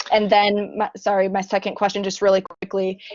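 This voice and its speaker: A woman with an American accent speaks at a medium pitch and a moderate pace. She has a plain, everyday voice. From United States. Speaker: conference audience member, student. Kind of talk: audience question at online conference.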